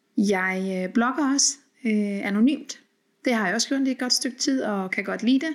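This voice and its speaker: At a moderate pace, a woman speaks with a fairly high pitch and ordinary pitch variation. The recording is very clean, with a silent background. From Denmark and Norway. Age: 40s. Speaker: podcast host. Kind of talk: solo podcast monologue. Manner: hesitant with many fillers.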